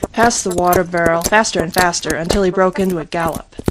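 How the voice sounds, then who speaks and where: A woman at a medium pitch with ordinary variation, moderate in pace, over noticeable background noise. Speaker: audiobook narrator. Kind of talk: reading aloud. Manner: animated.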